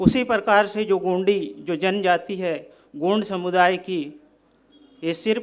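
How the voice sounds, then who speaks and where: A man's high voice with fairly even intonation. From Bastar, Chhattisgarh. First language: Gondi (speaking Hindi). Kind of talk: speech.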